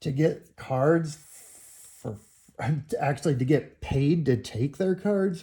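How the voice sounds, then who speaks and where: A man with a fairly high, somewhat breathy voice and a dark, mellow tone talks very slowly, with long, frequent pauses and ordinary pitch variation. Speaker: trading card collector and video creator; military veteran. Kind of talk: casual box-break commentary. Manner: slowed down; casual slangy.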